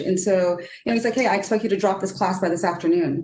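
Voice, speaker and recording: A woman with a Trinidadian accent at a very fast pace. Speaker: economist. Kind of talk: panel discussion.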